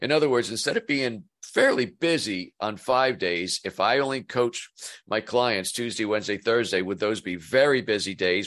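Lively in intonation, a man with an American accent speaks at a moderate pace and medium pitch in an ordinary speaking voice. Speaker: business coach. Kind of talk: casual interview chat.

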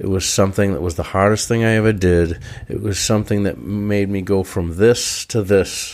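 At a moderate pace, a man with a normal speaking voice talks in a fairly low pitch with fairly even intonation. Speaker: podcast co-host. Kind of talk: casual chat. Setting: studio.

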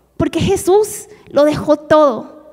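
Noticeable background noise sits behind a woman with a Mongolian accent whose pitch varies in an ordinary way. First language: Mongolian (speaking Spanish). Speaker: missionary. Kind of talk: testimony.

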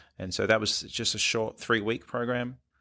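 Recorded very cleanly against a silent background, a man talks at a moderate pace in a bright, sharp tone with fairly even intonation. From Australia. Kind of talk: interview. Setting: studio.

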